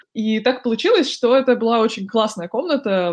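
A woman has an unremarkable speaking voice, pitched fairly high. She speaks at a moderate pace with lively intonation. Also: quiet background. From Russia, Moscow. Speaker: podcast host. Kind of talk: casual chat.

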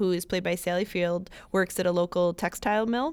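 A woman speaks at a medium pitch with an American accent. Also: very clean recording, silent background. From Buffalo, New York. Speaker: library podcast host. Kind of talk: casual chat. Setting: studio.

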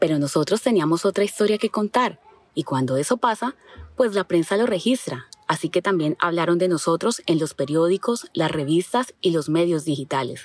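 Over noticeable background noise, a woman with a fairly low pitch speaks at a moderate pace with lively intonation and very even loudness, the sound dry and close with no echo. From Colombia, Caquetá (Florencia). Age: 40s. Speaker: school teacher and narrator. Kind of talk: scripted narration.

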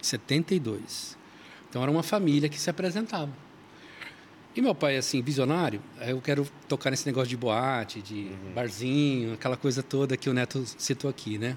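A man has an unremarkable speaking voice. He talks at a moderate pace with ordinary pitch variation. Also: medium pitch for a man. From São Paulo, Brazil. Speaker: church musician and author. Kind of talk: casual chat.

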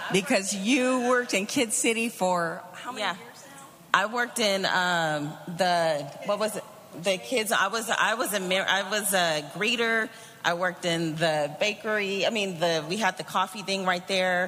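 Noticeable background noise runs beneath fairly slow speech. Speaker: church member giving testimony. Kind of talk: testimony.

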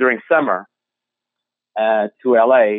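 A man speaks with a Portuguese accent. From Portugal. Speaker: drinks brand founder. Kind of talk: interview.

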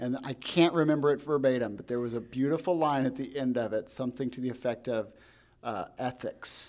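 A plain, everyday voice from a man at medium pitch with ordinary pitch variation, a fairly quick pace and a very clean recording with a silent background. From US Midwest, farm community. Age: 40s. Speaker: podcast host. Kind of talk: casual interview chat.

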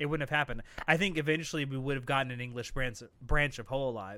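A man talks loudly at a fairly quick pace in a bright, sharp voice of medium pitch with ordinary pitch variation. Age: 30s. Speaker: podcast co-host. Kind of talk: casual chat. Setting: live stream.

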